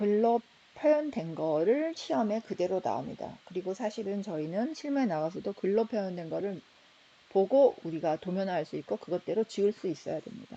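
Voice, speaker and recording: A woman's medium-pitched, dark, mellow voice at a moderate pace, with very wide pitch swings. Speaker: architecture professor. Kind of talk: lecture. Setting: recorded slide lecture video.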